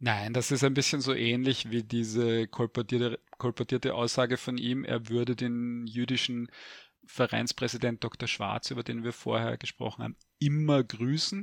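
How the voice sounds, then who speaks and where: In a quiet background with a dry, close sound and no echo, a man speaks at a medium pitch and moderate pace with fairly even intonation. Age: 50s. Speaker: historian. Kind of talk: interview. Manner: hesitant with many fillers.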